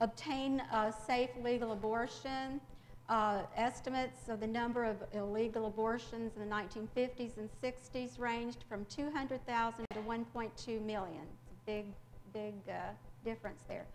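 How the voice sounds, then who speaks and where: Amid audible room echo and noticeable background noise, a woman with a Southern US accent speaks at a fairly high pitch with fairly even intonation. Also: moderate pace. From rural Mississippi, US South. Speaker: English professor. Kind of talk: lecture. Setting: library presentation with audience. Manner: frequent filler hesitations.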